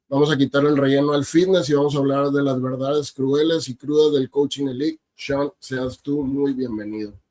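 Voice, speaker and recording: A man talks very fast with hardly any pauses, in a dark, mellow tone and fairly high pitch. His intonation stays fairly even, and the sound is dry and close with no echo. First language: Spanish. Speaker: podcast host. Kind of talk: podcast interview. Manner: halting in English.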